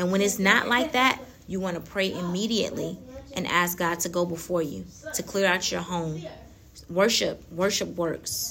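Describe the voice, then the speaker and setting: Noticeable background noise sits under speech that moves at a moderate pace, with ordinary pitch variation and long, frequent pauses. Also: woman. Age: 30s. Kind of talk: faith talk monologue. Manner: laughs often.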